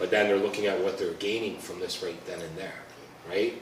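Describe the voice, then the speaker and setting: Both noticeable background noise and audible room echo accompany a man's speech. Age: 50s. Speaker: police officer. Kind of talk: community talk. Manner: conversational.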